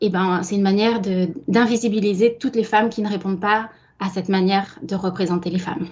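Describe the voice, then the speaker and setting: Her intonation fairly even, a woman speaks at a moderate speed. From France. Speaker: political science researcher. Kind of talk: interview. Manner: halting, many fillers.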